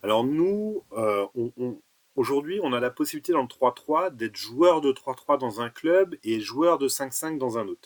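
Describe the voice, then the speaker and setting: With lively intonation and a fairly high pitch, a man speaks at a very slow pace in a dry, close sound with no echo. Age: 40s. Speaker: basketball association president and tournament organizer. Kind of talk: podcast interview.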